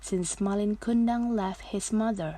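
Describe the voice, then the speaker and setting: A woman's dark, mellow voice at medium pitch, somewhat breathy and very slow, in a very clean recording against a silent background. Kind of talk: read story.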